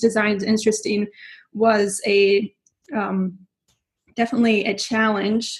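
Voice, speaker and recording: A woman speaks in a fairly high pitch. Her voice is somewhat breathy. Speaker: knitting podcast host. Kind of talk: casual podcast monologue. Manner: hesitant, many fillers.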